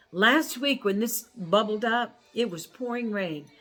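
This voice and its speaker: A woman with a medium pitch and an animated tone speaks at a moderate pace with lively intonation, while music plays in the background. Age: 70s. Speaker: lifestyle vlogger sharing personal inspiration. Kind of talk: personal inspirational monologue.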